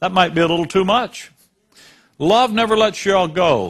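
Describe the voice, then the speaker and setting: At a moderate pace, the pitch of the speech varies in an ordinary way. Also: man. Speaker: preacher. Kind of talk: sermon.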